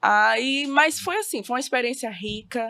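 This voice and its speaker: Recorded very cleanly against a silent background, an unremarkable speaking voice moves at a fairly slow pace with ordinary pitch variation. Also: woman. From Brazil, Maranhão (Bacabal). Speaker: teacher. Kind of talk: podcast interview. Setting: studio.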